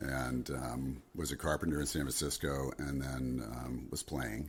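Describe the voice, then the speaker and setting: A man with a very deep, low pitch talks with vocal fry. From New Jersey. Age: 60s. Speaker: singer-songwriter and guitarist. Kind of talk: casual interview chat.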